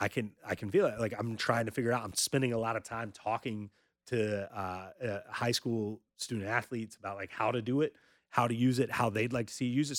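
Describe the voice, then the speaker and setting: A man with an American accent and a normal speaking voice talks at a fairly quick pace and medium pitch with ordinary pitch variation, in dry, close sound with no echo and a very clean recording with a silent background. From North Carolina. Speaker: high school sports journalist and publisher. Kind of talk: casual interview chat.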